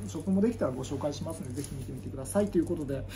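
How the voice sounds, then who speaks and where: Someone talks at a very fast pace against noticeable background noise. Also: man. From Japan. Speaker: YouTuber, Buddhist monk; YouTuber. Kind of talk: casual vlog talk. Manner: rambling, filler-heavy. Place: home room. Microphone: phone near.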